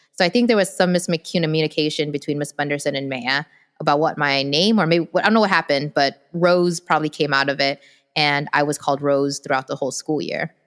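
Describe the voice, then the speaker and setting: A woman's very deep, low voice at a fairly quick pace with ordinary pitch variation, dry and close with no echo, in a very clean recording with a silent background. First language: Vietnamese. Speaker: podcast co-host. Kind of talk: casual storytelling chat.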